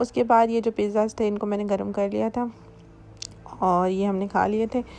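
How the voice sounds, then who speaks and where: At a moderate pace, a woman talks in a fairly high voice with a dark, mellow tone. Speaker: vlogger. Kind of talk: vlog narration.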